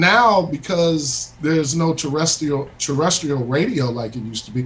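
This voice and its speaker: Noticeable background noise runs under a man talking at a moderate pace with hardly any pauses. His pitch is fairly high. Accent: American. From US Midwest, Chicago suburbs. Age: middle-aged. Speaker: bassist, guest musician. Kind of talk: casual radio interview chat.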